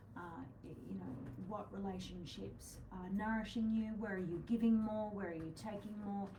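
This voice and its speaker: The speaker is soft-spoken, with an Australian accent and a moderate pace, and the loudness swings a lot. Room echo and noticeable background noise are both present. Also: woman, medium pitch for a woman. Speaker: astrologer co-host of psychic show. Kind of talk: casual live-stream chat on astrology. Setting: live video stream. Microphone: too quiet for some viewers.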